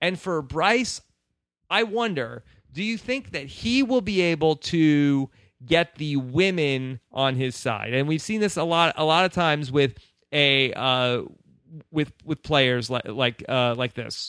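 A man with an ordinary speaking voice, fairly high-pitched and fairly slow, with lively intonation in a dry, close sound with no echo on a very clean recording with a silent background. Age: 30s. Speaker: podcast host. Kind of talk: casual chat.

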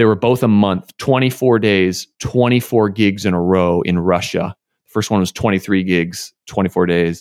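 A man with an American accent has an unremarkable speaking voice, fairly low in pitch. The recording is very clean and silent behind him, with a dry, close sound and no echo. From US. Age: 30s. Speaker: saxophonist and composer. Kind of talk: interview.

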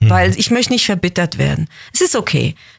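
Over noticeable background noise, a woman talks at a fairly quick pace. Her pitch makes very wide swings. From Switzerland, Basel. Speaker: actress. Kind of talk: interview.

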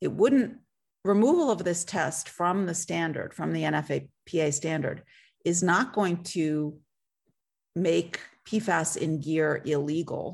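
Against a quiet background, a woman with a fairly low voice and vocal fry speaks very slowly, with ordinary pitch variation. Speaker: environmental advocate. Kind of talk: panel discussion.

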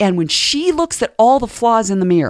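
Lively in intonation and moderate in pace, a woman speaks in an unremarkable speaking voice. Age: 50s. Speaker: professional counselor and speaker. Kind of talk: interview. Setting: studio. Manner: soft-spoken.

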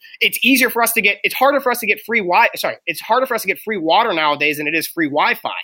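In an American accent, the voice is raised and projected, with a bright, sharp, animated tone. It moves at a very fast pace with lively intonation. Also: man. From Pittsburgh, Pennsylvania. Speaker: former wrestler and performance coach. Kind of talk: interview.

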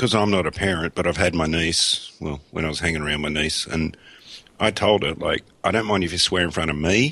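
A man with a very deep, low pitch talks at a very fast pace in a bright, sharp tone. His pitch variation is ordinary. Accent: Australian. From Australia. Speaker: coffin maker, podcaster. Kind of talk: casual chat. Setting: Skype call.

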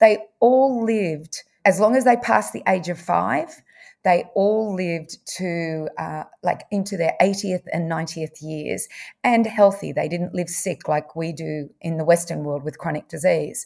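A woman speaks in an Australian accent at a fairly slow pace. Her pitch is fairly low, with ordinary variation. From Victoria, Australia. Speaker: nutritionist. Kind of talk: interview.

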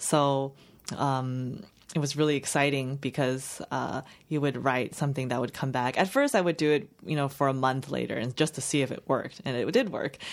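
A Chinese accent at a moderate pace with ordinary pitch variation, on a very clean recording with a silent background. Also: woman, very deep, low pitch for a woman. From Los Angeles County, US, after early childhood in China. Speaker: fiction writer. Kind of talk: interview. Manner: halting.

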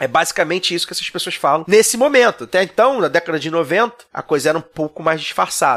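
A high-pitched man at a very fast pace, with lively intonation. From Rio de Janeiro, Zona Norte suburb. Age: 30s. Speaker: podcast host guest. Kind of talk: casual chat. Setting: studio.

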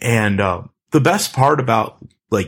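A man with a plain, everyday voice, medium in pitch with ordinary pitch variation, in an American accent, on a very clean recording with a silent background. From US East Coast. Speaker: developer advocate. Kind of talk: casual chat.

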